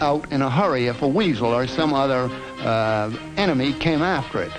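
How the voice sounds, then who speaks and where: Music plays in the background under speech with lively intonation. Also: man. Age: old. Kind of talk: educational film narration. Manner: meandering, rambling, hesitant.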